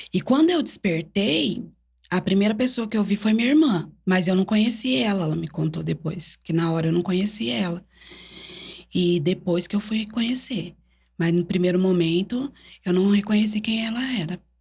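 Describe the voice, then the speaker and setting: A somewhat breathy woman's voice, medium in pitch, at a moderate pace with lively intonation. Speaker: church evangelist. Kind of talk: interview testimony. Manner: halting.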